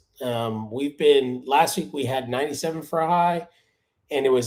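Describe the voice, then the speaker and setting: With an American accent, a man has an unremarkable speaking voice, pitched fairly high and delivered at a moderate pace. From Miami, Florida. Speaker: lawn care YouTuber. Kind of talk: live stream chat. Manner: casual.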